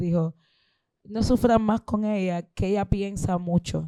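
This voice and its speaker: A woman's dark, mellow voice comes through dry and close, with no echo. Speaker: singer and composer. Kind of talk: Q&A at a public talk. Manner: halting, self-repeating.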